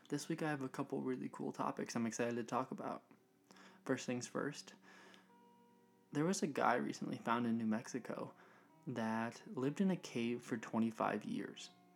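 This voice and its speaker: With music in the background, a man speaks at a moderate pace and a medium pitch. His intonation is lively, and his pauses are long and frequent. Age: 20s. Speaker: podcast host. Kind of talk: solo podcast monologue.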